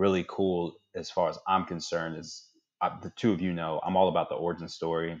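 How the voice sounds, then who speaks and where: A man with a very deep, low pitch talks at a fairly quick pace in a monotone, flat intonation. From DC area (Fort Washington, Maryland). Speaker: podcast co-host, startup founder and consultant. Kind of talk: casual chat.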